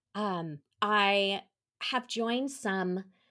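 Here a woman speaks with an American accent and lively intonation at medium pitch. The recording is very clean, with a silent background. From New York, then Colorado from age 13. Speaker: travel and hospitality sales consultant. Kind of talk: interview.

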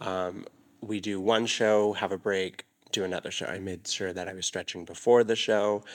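A man with an American accent speaks in a monotone, flat way at a fairly low pitch. His pace is moderate, and the recording is very clean with a silent background. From Arizona. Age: 20s. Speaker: dancer and choreographer. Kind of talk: casual chat.

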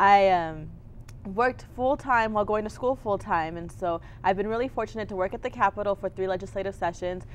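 A woman speaks with an American accent in a normal speaking voice. Her pitch is medium, with ordinary variation, and her pace is fairly quick. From Texas (Clint, El Paso County). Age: 20s. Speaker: political candidate. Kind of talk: interview.

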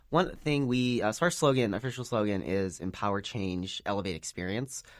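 A man with an American accent talks at a fairly quick pace, his intonation lively, in a plain, everyday voice. The recording is very clean, with a silent background. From Chicago. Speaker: student government candidate. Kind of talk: interview.

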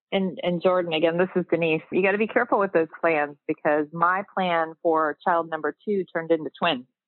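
A woman talks in a plain, everyday voice, fairly low in pitch and fairly quick. Her intonation is fairly even and her loudness very even. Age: 50s. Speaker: nonprofit executive. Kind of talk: casual panel discussion.

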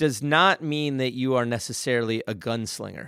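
A very clean recording with a silent background and a dry, close sound without echo. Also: man. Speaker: marketing agency CEO. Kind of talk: casual interview chat. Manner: loud, fast, passionate, excitable.

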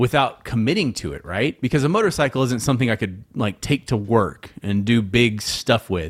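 Over a silent background on a very clean recording, a man talks at a medium pitch with lively intonation. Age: 30s. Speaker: comedy podcast co-host. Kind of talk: casual chat. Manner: animated.

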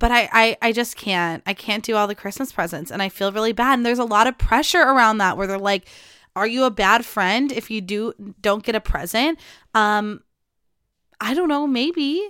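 The voice sounds animated and bright, with a sharp tone and ordinary pitch variation, captured dry and close with no echo on a very clean recording with a silent background. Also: woman, fairly high pitch for a woman. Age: 20s. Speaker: podcast host. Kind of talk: casual solo chat. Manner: fast.

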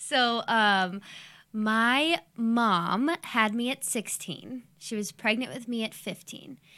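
A woman speaks very slowly with ordinary pitch variation and a bright, sharp tone, on a very clean recording with a silent background. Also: fairly high pitch for a woman. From Ohio, Youngstown. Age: 20s. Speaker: podcast guest. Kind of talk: casual chat.

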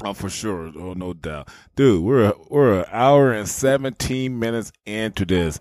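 A man with a plain, everyday voice speaks at a moderate pace and fairly low pitch. His intonation is lively, and his loudness swings widely. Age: 40s. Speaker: podcast host. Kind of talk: casual chat. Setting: video call.

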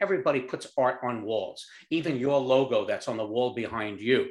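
A man speaks with a New York accent. His pace is moderate. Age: 70s. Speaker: company founder. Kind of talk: interview.

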